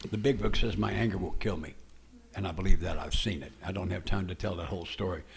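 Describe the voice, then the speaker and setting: A man speaks at a fairly low pitch with ordinary pitch variation and some vocal fry. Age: 80s. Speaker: AA speaker. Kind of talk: testimony.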